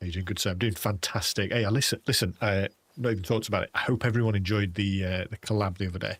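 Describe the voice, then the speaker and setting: A man with a British accent talks at a very fast pace in a fairly low, somewhat breathy voice with fairly even intonation. The recording is very clean, with a silent background and a dry, close sound with no echo. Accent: British, sometimes taken for Australian. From England. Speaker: gaming streamer. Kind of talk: casual live stream chat. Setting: live stream. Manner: casual, rambling.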